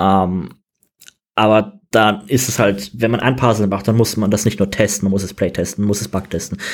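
A man with an ordinary speaking voice, at a moderate pace and with fairly even intonation. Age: 20s. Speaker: game designer. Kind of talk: interview.

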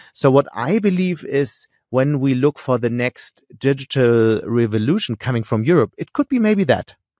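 A man's fairly high voice with a dark, mellow tone and a German accent, lively intonation, moderate pace and hardly any pauses, in a very clean recording with a silent background and a dry, close sound with no echo. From Germany, Hamburg. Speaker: newspaper editor-in-chief. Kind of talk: interview.

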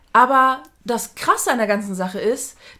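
A woman's high, bright and sharp voice at a moderate pace, on a very clean recording with a silent background. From outside Germany. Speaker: podcast co-host. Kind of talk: casual chat. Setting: same room, no window.

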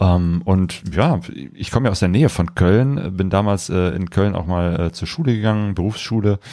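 A man's very deep, low voice with a dark, mellow tone, ordinary pitch variation and a moderate pace. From western Germany, near Cologne. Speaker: travel podcast host, motorcycle traveller. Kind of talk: casual chat. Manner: hesitant, many fillers.

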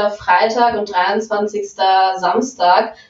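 With noticeable background noise behind her, a woman talks in a monotone, flat intonation. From Saxony-Anhalt, Germany. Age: 20s. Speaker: adult webcam performer. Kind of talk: casual interview.

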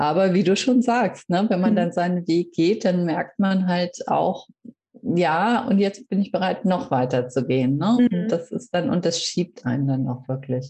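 A woman speaks fairly slowly in a fairly low, somewhat breathy voice with very wide pitch swings. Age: 40s. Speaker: reiki practitioner and coach. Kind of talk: interview. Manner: hesitant, many fillers.

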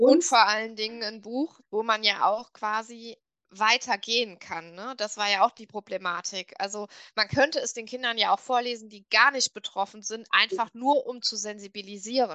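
A woman with a fairly high pitch and a bright, sharp tone speaks at a moderate pace with ordinary pitch variation. Her loudness swings widely over a quiet background. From Westerwald, western Germany. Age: 30s. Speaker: illustrator. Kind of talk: interview.

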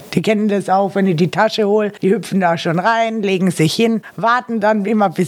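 A woman talks with an unremarkable speaking voice at a medium pitch. She keeps a moderate pace and fairly even intonation. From Austria, Carinthia. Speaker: webcam performer and party singer. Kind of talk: casual interview.

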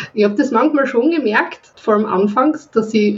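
A woman speaks at a moderate pace with lively intonation and a Viennese accent, over noticeable background noise. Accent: Viennese Austrian German. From Austria, Vienna. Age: 20s. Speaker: webcam model. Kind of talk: casual interview chat. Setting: remote call from home. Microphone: laptop FaceTime call.

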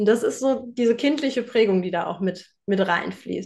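A plain, everyday voice from a woman, fairly high-pitched, with lively intonation at a moderate pace over a quiet background. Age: 30s. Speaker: home organization coach. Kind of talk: interview.

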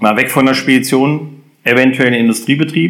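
A plain, everyday voice from a man, medium in pitch with ordinary pitch variation and a fairly quick pace. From Germany, moved around (Hesse, Lower Saxony). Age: 50s. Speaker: sports club chairman. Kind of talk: interview.

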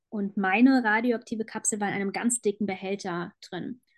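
A woman with a normal speaking voice talks at a moderate pace and a fairly high pitch, her intonation fairly even and the sound dry and close with no echo. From Germany, Frankfurt. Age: 20s. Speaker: cancer patient sharing her story. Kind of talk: interview, personal testimony.

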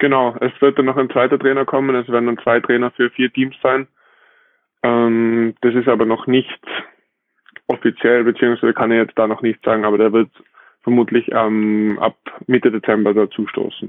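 The delivery is monotone and flat, with very even loudness and long, frequent pauses. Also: man, medium pitch for a man, moderate pace. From Austria. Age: 20s. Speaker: professional beach volleyball player. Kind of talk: casual interview.

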